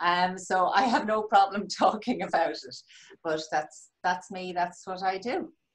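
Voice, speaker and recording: A woman speaks with a Dublin accent and ordinary pitch variation over a quiet background. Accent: Dublin Irish. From Dublin, Ireland. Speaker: life coach. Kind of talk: elevator pitch. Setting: video call. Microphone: video call.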